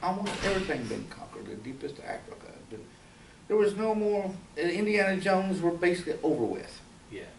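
A high-pitched man with an American accent at a very fast pace, ordinary pitch variation, light background noise and audible room echo. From rural Kentucky. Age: 60s. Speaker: fantasy artist; artist giving demonstration. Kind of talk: live drawing demonstration; informal talk to audience. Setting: university library event with audience. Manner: casual, hesitant with fillers. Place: classroom. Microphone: camera far.

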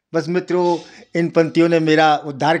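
A man is talking. He has a high-pitched voice. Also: quiet background. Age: 80s+. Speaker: poet. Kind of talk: interview. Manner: soft-spoken. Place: home room. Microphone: handheld.

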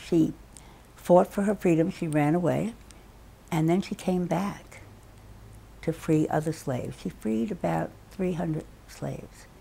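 A woman speaks with vocal fry in a fairly low pitch and a dark, mellow tone, with ordinary pitch variation. Her pace is fairly slow, broken by long, frequent pauses. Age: 80s+. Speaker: children's book author. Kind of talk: interview storytelling. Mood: reflective, lively recollection. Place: home room.

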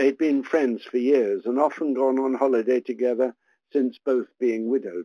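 A man at medium pitch and a fairly slow pace, recorded with a dry, close sound and no echo

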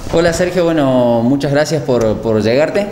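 A man at a fairly high pitch and moderate pace, ordinary pitch variation, audible room echo and light background noise. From Argentina, Los Cocos, Córdoba; Córdoba, Argentina. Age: 30s. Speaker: town councillor; local council member. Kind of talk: interview. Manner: halting with repetitions. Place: office.

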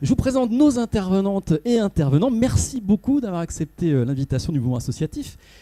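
A man's high-pitched voice with a dark, mellow tone, very wide pitch swings, and a moderate pace against a quiet background. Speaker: journalist, debate moderator. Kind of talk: moderating a panel debate. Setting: stage with audience. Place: hall.

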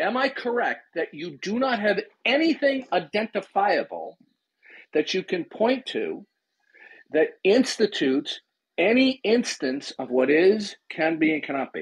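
The speaker moves at a fairly slow pace. The background is quiet. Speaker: host of an audio chat room. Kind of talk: heated debate questioning. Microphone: video call.

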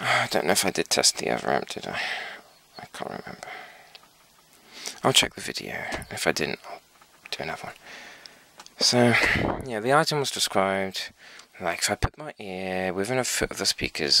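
Fairly low-pitched and fairly quick, a man's voice jumps a lot in loudness, with a dry sound and no echo. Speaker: hobbyist reviewing equipment. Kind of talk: casual demo commentary. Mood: disappointed. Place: workshop. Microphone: phone near.

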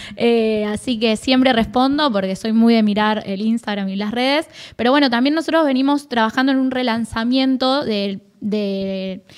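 The speaker keeps a moderate pace with hardly any pauses and ordinary pitch variation. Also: woman, fairly high pitch for a woman. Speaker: youth policy official. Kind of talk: interview. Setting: studio.

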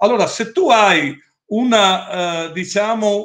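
Over a quiet background, a man speaks at a very slow pace. His intonation is lively. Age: 60s. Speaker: company owner presenting products; presenter. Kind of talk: product presentation with Q&A. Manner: assertive. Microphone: webcam.

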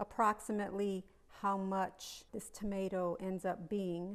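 A woman's monotone, flat intonation. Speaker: home cooking host. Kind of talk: tutorial. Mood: warm, chatty. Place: kitchen.

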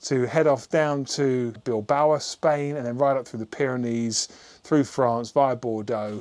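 With the background quiet, a man's intonation stays fairly even. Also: fairly slow pace. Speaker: motorbike vlogger. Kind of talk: casual vlog chat. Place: garage. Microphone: lapel.

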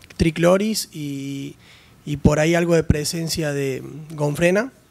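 Fairly even in intonation, the man's speech proceeds at a fairly slow pace. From Argentina, Santa Fe (Rafaela area). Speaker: audience member, farmer. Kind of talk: audience question and comment. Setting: conference workshop with audience. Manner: halting. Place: hall. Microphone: podium.

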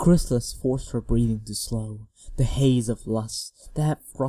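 Here is an unforced reading voice. The background is quiet.

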